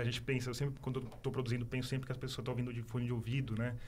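Somewhat breathy and monotone, a man with a medium pitch speaks in a flat tone with audible room echo. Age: 40s. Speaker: journalist and podcaster. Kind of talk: casual interview.

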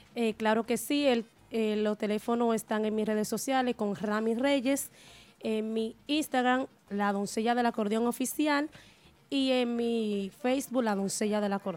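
A woman talks in a normal speaking voice at a fairly slow pace. Her pitch is fairly high with ordinary variation, and her loudness stays very even. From Dominican Republic, Río San Juan, Nagua. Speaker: merengue típico musician. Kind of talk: interview. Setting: studio.

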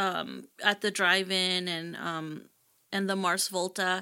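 A woman's bright, sharp voice at a very slow pace, in a very clean recording with a silent background. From Mexico, raised in Houston from age eight. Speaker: poet and filmmaker. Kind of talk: interview. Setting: live stream. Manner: halting, many repetitions.

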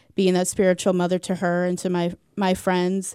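In a Midwestern American accent, a woman speaks at a fairly quick pace, her medium pitch carrying a dark, mellow tone. The recording is very clean, with a silent background. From US Midwest, St. Louis, Missouri. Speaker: nurse. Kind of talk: casual interview testimony.

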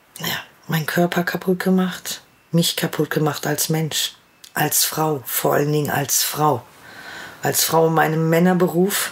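Amid noticeable background noise, a woman with a very deep, low pitch speaks at a fairly slow pace, with fairly even intonation and long, frequent pauses. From Ruhr area, Germany. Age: 40s. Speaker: vaccine injury sufferer. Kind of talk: personal testimony.

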